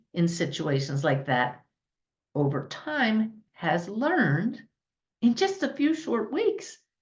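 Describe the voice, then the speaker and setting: A woman's somewhat breathy voice comes at a very slow pace. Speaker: spiritual teacher and medium. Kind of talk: podcast talk to audience.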